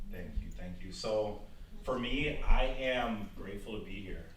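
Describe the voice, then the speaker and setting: Speaking with an American accent, a man is heard with audible room echo. There is noticeable background noise. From Milwaukee, Wisconsin. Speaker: keynote speaker, former teacher. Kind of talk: motivational talk. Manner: energetic.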